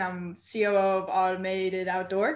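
A woman's medium-pitched voice. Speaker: company executive. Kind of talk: guided visualization.

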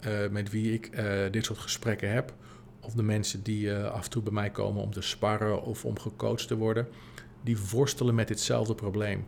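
This man has an unremarkable speaking voice, pitched fairly low. He talks at a moderate pace. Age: 40s. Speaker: podcast host and business coach. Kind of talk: solo podcast monologue. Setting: empty office.

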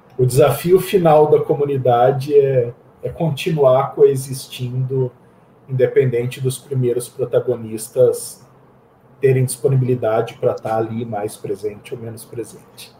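Speaking at a medium pitch and a fairly slow pace, a man sounds somewhat breathy, with fairly even intonation and big swings in loudness. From Campinas, São Paulo state, Brazil. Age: 40s. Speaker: IT professional and open-source community founder. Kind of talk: casual interview.

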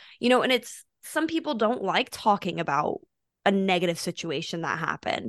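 Loud and at a moderate pace, a woman with an American accent speaks at a medium pitch, her voice swinging very widely up and down. The sound is dry and close with no echo, and the background is quiet. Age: 20s. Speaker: podcast host. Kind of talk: casual chat. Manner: loud talker.

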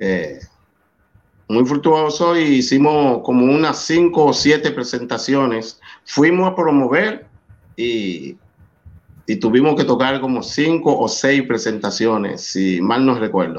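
Very slow in pace, this man speaks with a Dominican accent at medium pitch. His intonation is lively. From Dominican Republic, San Cristóbal. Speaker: salsa singer. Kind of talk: interview.

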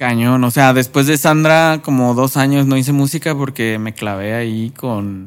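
Fairly slow speech with hardly any pauses and ordinary pitch variation, on a very clean recording with a silent background. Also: man, medium pitch for a man. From Mexico. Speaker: rapper and music producer. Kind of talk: casual interview chat.

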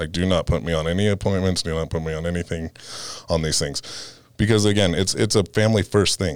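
Talking at a very fast pace, a man with an American accent has a very deep, low pitch and fairly even intonation on a very clean recording with a silent background. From California (Fresno). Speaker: window company owner. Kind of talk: interview.

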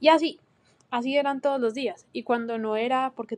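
This woman sounds dry and close, with no echo at all. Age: 20s. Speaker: podcast host; university student. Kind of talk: solo monologue. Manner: casual, hesitant with fillers.

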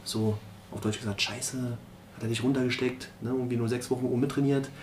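A man talks at a very fast pace in a medium pitch with fairly even intonation, and room echo is audible. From Berlin (Marzahn). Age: 40s. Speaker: former professional footballer. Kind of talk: interview.

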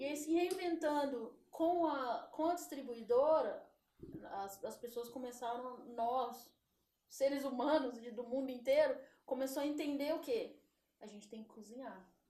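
A woman's dark, mellow voice sits at a high pitch, moving at a fairly slow pace with ordinary pitch variation and big swings in loudness. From São Paulo, Brazil. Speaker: former basketball player and meat shop owner. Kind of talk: interview.

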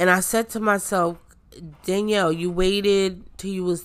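A woman's fairly low-pitched voice, bright and sharp in tone, with monotone, flat intonation at a moderate pace, on a very clean recording over a silent background. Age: 40s. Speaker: podcast host, artist. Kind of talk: casual solo podcast talk.

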